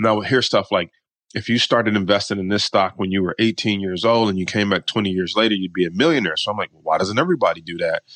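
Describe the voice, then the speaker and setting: A man with an American accent talks at a very fast pace. The sound is dry and close, with no echo. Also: fairly low pitch for a man, ordinary pitch variation. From Detroit, Michigan, US. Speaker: stock market coach and options trader. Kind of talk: interview.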